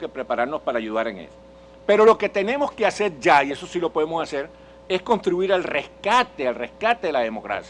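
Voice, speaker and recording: With a Venezuelan accent, a man speaks at a very fast pace in a high pitch. His voice swings very widely up and down. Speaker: political speaker and journalist. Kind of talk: public lecture. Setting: conference hall with audience. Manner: halting, with self-corrections.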